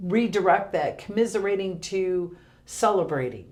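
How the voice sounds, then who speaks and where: Audible room echo surrounds a voice moving at a fairly slow pace. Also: woman. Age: 50s. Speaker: senior center director. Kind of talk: casual interview.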